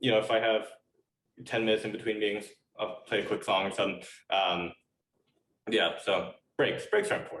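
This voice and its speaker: With an American accent, a man talks at a fairly quick pace but leaves long, frequent pauses. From United States. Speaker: biotech entrepreneur and scientist. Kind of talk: podcast interview. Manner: halting, many fillers and repeats.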